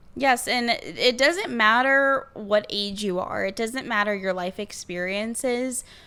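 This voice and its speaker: A woman speaks in a fairly high pitch with hardly any pauses. Noticeable background noise runs underneath. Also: ordinary pitch variation, fairly slow pace. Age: 20s. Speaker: podcast co-host. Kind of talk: casual chat.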